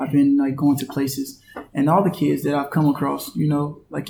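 The speaker has an American accent and talks at a very fast pace. Background noise is noticeable. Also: man. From North Carolina, US. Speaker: professional basketball player. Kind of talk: interview.

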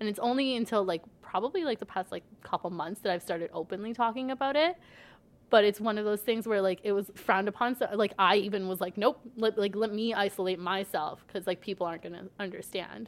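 A woman with a Toronto accent speaks at a medium pitch. Her pace is fairly quick and her pitch varies in an ordinary way. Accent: Canadian English, Toronto-area. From Canada, Brampton, Ontario. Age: 20s. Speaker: mental health advocate. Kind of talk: casual interview.

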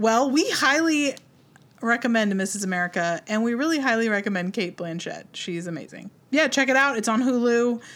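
A woman's ordinary speaking voice, fairly high in pitch, with lively intonation at a moderate pace. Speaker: podcast host. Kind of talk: casual chat. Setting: video call.

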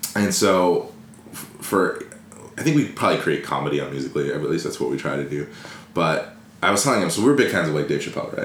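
Amid noticeable background noise and audible room echo, a man with a Californian accent talks at a very fast pace. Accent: Californian American. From Los Angeles. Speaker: entrepreneur. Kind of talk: casual chat.

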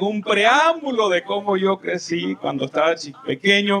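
An animated man with a high voice speaks at a fairly slow pace over noticeable background noise. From El Salvador. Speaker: pastor. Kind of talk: sermon.

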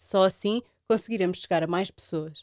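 At a medium pitch and moderate pace, a woman talks with ordinary pitch variation in a dry, close sound with no echo. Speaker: podcast host. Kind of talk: scripted outro; interview. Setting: office.

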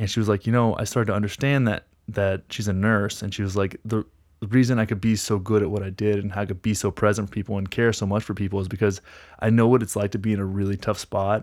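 A man with an American accent, fairly low in pitch and very fast, with monotone, flat intonation, on a very clean recording with a silent background. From North Texas. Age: 30s. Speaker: lifestyle coach, former gym owner. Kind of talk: casual chat.

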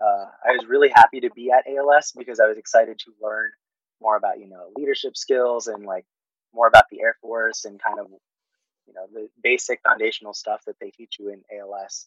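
Here a man speaks at a fairly quick pace. His loudness swings widely. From Fairfield, California (born in the Philippines). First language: Tagalog. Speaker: air force paralegal. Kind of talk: interview.

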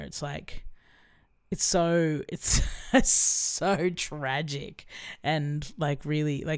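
A woman's very deep, low voice with an Australian accent. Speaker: musician. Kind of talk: casual chat.

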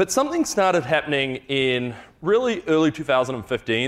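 A man with a New Zealand accent at a very fast pace. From New Zealand, Wellington. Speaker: farm animal welfare program lead. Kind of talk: conference talk.

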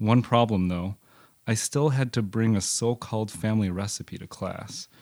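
An unremarkable speaking voice: a man with an American accent at medium pitch, fairly even intonation and a moderate pace, dry and close with no echo, on a very clean recording with a silent background. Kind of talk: reading aloud personal essay.

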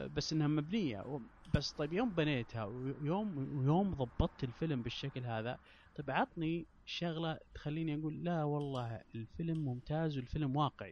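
A man speaks in an ordinary speaking voice, fairly high in pitch. His pace is moderate, with ordinary pitch variation. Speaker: podcaster. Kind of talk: casual chat.

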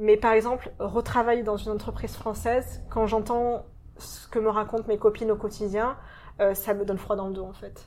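The voice keeps to a medium speed, its intonation monotone and flat. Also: woman, fairly high pitch for a woman. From France, Marseille. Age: 30s. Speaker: expatriate. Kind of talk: interview. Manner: frequent hesitations.

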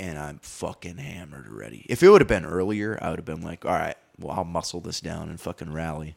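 An American-accented man speaks at a fairly quick pace with hardly any pauses, his very deep, low voice carrying vocal fry, lively intonation and big swings in loudness. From Wisconsin, Green Bay. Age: 20s. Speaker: podcast guest. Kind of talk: casual chat.

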